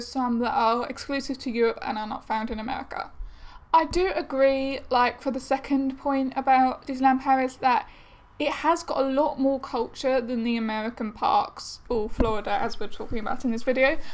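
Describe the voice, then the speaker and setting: A woman with an English accent speaks at a high pitch with fairly even intonation. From England. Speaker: vlogger. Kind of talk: casual vlog talk. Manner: chatty with hesitations.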